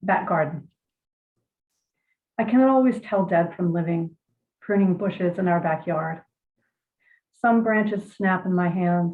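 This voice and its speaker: A somewhat breathy woman at a fairly slow pace, with long, frequent pauses and ordinary pitch variation. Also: medium pitch for a woman. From Virginia. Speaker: poet. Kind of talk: interview and poetry reading. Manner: hesitant, many fillers.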